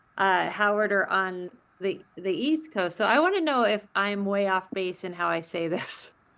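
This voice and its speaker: Bright and sharp in tone, a woman with a Californian accent talks at a moderate pace. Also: medium pitch for a woman, lively intonation, quiet background. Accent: California. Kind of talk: webinar discussion.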